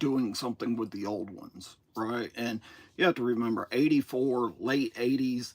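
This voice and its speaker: A man speaks at a medium pitch in a very clean recording with a silent background. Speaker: toy collector streamer. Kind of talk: live stream monologue. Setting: solo live stream. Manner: casual, hesitant with fillers.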